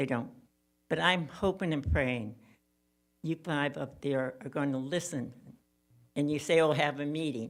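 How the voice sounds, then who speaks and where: In a very clean recording with a silent background, a woman with an American accent speaks at a very deep, low pitch with ordinary pitch variation and long, frequent pauses. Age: 80s+. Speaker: public commenter. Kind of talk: public comment. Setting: city commission meeting.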